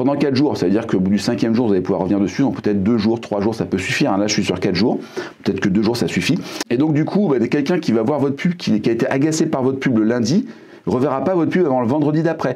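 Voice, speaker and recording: A man's medium-pitched, very fast speech, lively intonation and very even loudness, over noticeable background noise. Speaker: YouTube marketing trainer. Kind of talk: tutorial. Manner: hesitant, many fillers.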